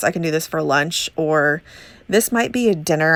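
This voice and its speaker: This woman's voice sits very deep and low. The recording is very clean, with a silent background. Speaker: homemaking vlogger. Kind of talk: voiceover narration. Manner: fast; casual with fillers.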